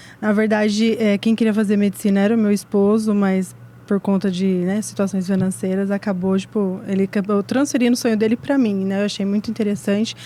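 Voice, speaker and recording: A woman with a dark, mellow tone talks at a fairly quick pace with hardly any pauses, fairly even intonation and very even loudness. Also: medium pitch for a woman. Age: 30s. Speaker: medical student. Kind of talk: casual chat.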